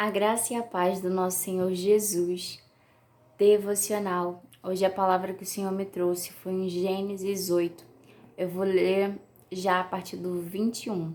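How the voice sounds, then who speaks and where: Keeping a monotone, flat intonation, a woman talks fairly slowly at a medium pitch. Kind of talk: devotional message. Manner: may slur words at times.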